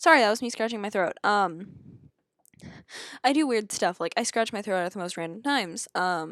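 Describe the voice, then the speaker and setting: A woman's medium-pitched voice with lively intonation and a moderate pace, long, frequent pauses, and a very clean recording with a silent background. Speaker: gaming YouTuber. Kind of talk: gameplay commentary. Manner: quiet; hesitant.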